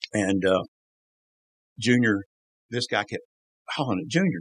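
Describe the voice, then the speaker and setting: A man's fairly low voice in a Southern US accent, at a moderate pace, with a dry, close sound and no echo. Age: 60s. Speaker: former NASCAR crew member. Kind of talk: casual interview storytelling. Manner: animated.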